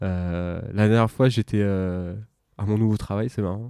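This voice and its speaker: The sound is dry and close with no echo, on a very clean recording with a silent background. A man speaks in a dark, mellow tone. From Paris region, France. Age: 30s. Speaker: expatriate interviewee. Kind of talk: intimate interview conversation.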